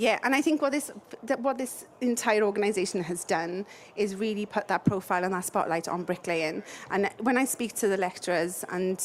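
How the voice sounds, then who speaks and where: A woman speaks with a Welsh accent at a fairly quick pace. Her medium-pitched voice shows ordinary pitch variation. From South Wales. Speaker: building products company representative. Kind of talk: interview.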